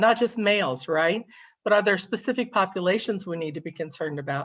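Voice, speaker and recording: A woman with an American accent uses a plain, everyday voice at medium pitch, her intonation lively. She speaks at a moderate pace against a quiet background. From Kentucky, US South. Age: 60s. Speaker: state suicide prevention administrator. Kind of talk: presentation.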